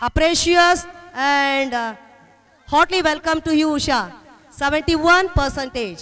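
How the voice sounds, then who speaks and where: Speech comes at a very slow pace with long, frequent pauses. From India. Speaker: school event emcee. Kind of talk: ceremony announcements. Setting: school stage with audience. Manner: halting. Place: stage.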